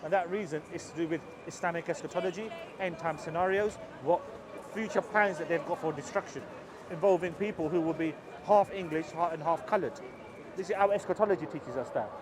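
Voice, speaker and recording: With noticeable background noise behind him, a man speaks very fast in a high pitch, broken by long, frequent pauses. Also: ordinary pitch variation. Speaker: street preacher. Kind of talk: street debate.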